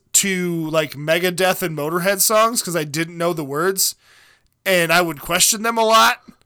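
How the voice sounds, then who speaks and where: On a very clean recording with a silent background, a man talks loudly at a fairly slow pace, with high pitch and ordinary pitch variation. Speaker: podcast co-host. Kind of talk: casual chat; reading news stories aloud. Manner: loud, raised pitch.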